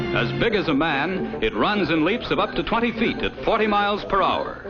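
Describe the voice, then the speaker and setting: A man with an American accent talks at a moderate pace in a high pitch, with lively intonation and very even loudness. Music plays in the background. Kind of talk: newsreel narration.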